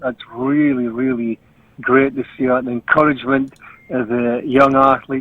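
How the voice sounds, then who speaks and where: A moderate pace in a Scottish accent, with monotone, flat intonation. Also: man. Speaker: Highland Games athletics announcer. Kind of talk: interview answer. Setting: video call recording (Zoom).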